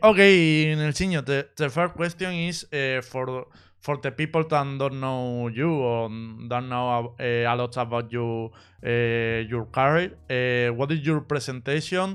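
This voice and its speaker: In a quiet background, a man with a Spanish accent speaks at a fairly slow pace, his medium pitch showing ordinary variation. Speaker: esports streamer interviewer. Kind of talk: live stream interview. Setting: voice call. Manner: halting.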